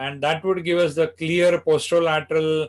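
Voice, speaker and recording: On a very clean recording with a silent background, a man with an Indian accent speaks at a moderate pace. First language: Marathi. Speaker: spine surgeon. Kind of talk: medical lecture.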